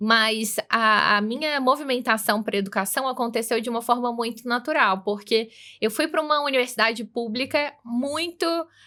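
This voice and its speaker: A woman speaks in a Minas Gerais accent with a bright, sharp tone and a fairly high pitch that varies in an ordinary way. She keeps a moderate pace with hardly any pauses on a very clean recording with a silent background. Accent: Minas Gerais accent, noticeable. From interior of Minas Gerais, Brazil. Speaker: executive manager of tech education coalition. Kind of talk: podcast interview.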